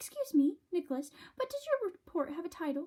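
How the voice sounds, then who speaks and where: Using a put-on character voice, a woman squeaks at an extremely high pitch with very wide pitch swings and a fairly quick pace. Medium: read story. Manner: precise, formal.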